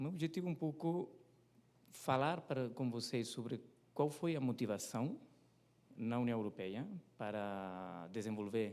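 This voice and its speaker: A man's medium-pitched voice, dark and mellow in tone, with lively intonation at a fairly slow pace. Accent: non-native. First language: not Portuguese (speaking Portuguese). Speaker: competition economist. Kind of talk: presentation at a seminar. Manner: hesitant, many fillers.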